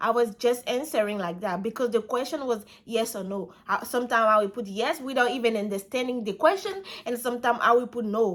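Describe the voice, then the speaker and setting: At a moderate pace, a woman speaks with a high pitch. The recording is very clean with a silent background. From Ivory Coast, West Africa. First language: French. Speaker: vlogger. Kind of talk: casual storytime vlog. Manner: halting, some repetitions.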